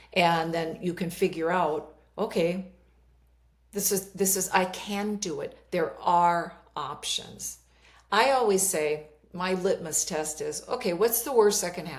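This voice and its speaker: With a slight Minnesota accent, a woman talks at a fairly slow pace. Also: medium pitch for a woman, ordinary pitch variation. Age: 60s. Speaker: life coach. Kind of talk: interview conversation.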